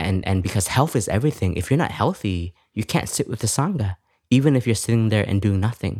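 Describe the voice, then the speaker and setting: Recorded very cleanly against a silent background, a man with a dark, mellow tone talks at a fairly quick pace in a dry, close sound with no echo. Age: 30s. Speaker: Zen Buddhist monk. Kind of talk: casual chat; guided meditation.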